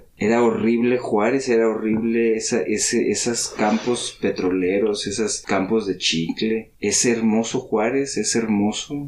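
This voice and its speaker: A man's medium-pitched voice, fairly slow and nearly pause-free, with fairly even intonation and very even loudness, over noticeable background noise. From Mexico City. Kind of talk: casual chat over drinks.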